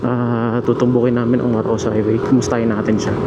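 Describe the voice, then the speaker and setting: A man speaks quietly and very fast at medium pitch. His intonation is monotone and flat, with noticeable background noise behind him. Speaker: motovlogger. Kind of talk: casual vlog narration while riding. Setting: riding a motorcycle, in helmet. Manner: quiet, lowered voice.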